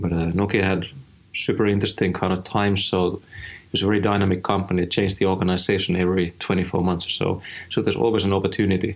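In a Finnish accent, a man speaks at a very fast pace with monotone, flat intonation and a very deep, low pitch. The recording is very clean with a silent background. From rural Finland. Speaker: head of design. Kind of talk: interview.

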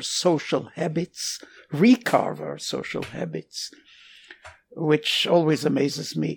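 Someone with an Israeli accent speaks at a very slow pace. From Israel, Jerusalem. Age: 80s+. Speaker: retired military physician. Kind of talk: casual interview. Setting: remote call.

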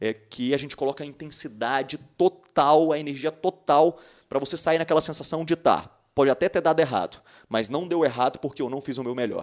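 With ordinary pitch variation, a normal speaking voice delivers its words at a fairly quick pace. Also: man, fairly high pitch for a man. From Minas Gerais, Brazil (Patos de Minas). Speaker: dentist and dental educator. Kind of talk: casual interview.

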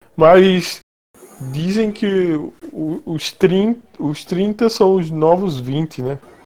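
Music plays in the background as a man speaks at a very slow pace. His high pitch moves with lively intonation. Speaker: freelance designer. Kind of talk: casual chat. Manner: pauses often.

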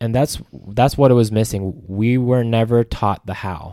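In a very clean recording with a silent background and a dry, close sound with no echo, a man speaks at a medium pitch and moderate pace in a dark, mellow tone. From US, Las Vegas, Nevada. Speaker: podcast host, Air Force veteran. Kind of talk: casual chat. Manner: animated.

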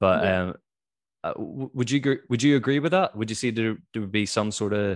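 Against a quiet background, a man with a Northern Irish accent speaks at a fairly quick pace. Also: medium pitch for a man, ordinary pitch variation. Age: 20s. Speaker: podcast host. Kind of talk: casual interview.

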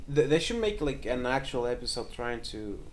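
A man speaks in a normal speaking voice at a moderate pace. His intonation is lively. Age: young. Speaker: podcast co-host. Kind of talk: casual chat.

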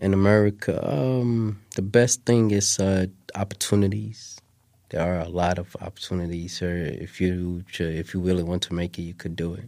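With fairly even intonation, a man delivers his words at a moderate pace in a very deep, low pitch. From Somalia, Mogadishu. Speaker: refugee guest. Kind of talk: interview.

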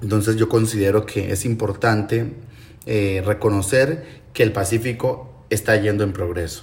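Fairly low pitch from a man, somewhat breathy, with fairly even intonation at a moderate pace. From Colombian Pacific coast, Timbiquí, Cauca. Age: 20s. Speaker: cultural manager and musician. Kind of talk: interview testimony. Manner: halting.

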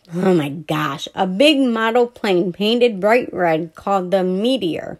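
Unforced voice, reading

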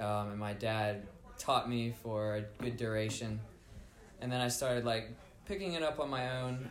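A man with an American accent at a medium pitch and moderate pace, with ordinary pitch variation and noticeable background noise. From Norfolk, Virginia. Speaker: musician. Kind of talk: casual chat. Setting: studio.

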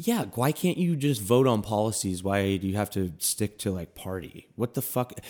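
With an American accent, a man uses an ordinary speaking voice at a fairly low pitch, moving at a moderate pace with lively intonation and hardly any pauses. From US Midwest (Milwaukee). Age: 30s. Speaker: comedian. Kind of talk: casual chat.

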